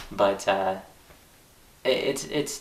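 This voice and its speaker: A man with a fairly low voice speaks over noticeable background noise. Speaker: vlogger learning to sing. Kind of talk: casual vlog monologue. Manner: halting, with repeated words and fillers.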